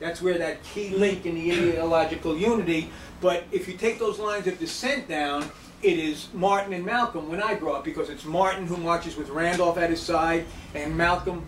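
The voice moves at a moderate pace, with audible room echo and light background noise. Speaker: lecturer. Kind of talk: lecture. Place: hall. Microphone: camera far.

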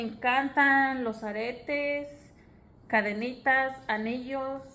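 Projecting her raised, bright, sharp voice at a high pitch, a woman speaks very slowly with fairly even intonation. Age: 20s. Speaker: vlogger, stay-at-home mother; vlogger. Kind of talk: casual vlog monologue. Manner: hesitant, with many fillers. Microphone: phone near.

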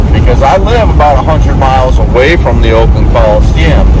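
The man speaks at a moderate pace. Loud background noise fills the dry sound, which has no echo. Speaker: van-camping vlogger. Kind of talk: casual vlog chat. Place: car. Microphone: phone near.

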